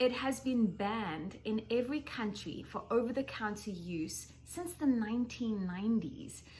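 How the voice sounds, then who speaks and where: A woman with a South African accent speaks at a fairly high pitch and a fairly slow pace with lively intonation. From South Africa, Johannesburg. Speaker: skincare educator. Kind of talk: presentation.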